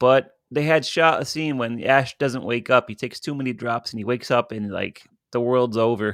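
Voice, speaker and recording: An ordinary speaking voice from a man, medium in pitch with ordinary pitch variation, at a fairly quick pace in a dry, close sound with no echo. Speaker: podcast host and horror filmmaker. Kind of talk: casual chat. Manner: jokey, laughs often.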